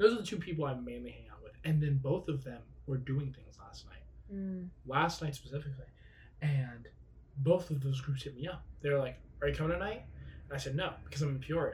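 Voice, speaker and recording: A man speaks with a fairly high pitch and somewhat breathy delivery. His loudness swings widely while his pitch varies in an ordinary way. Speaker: podcast co-host. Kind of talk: casual chat. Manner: joking, casual.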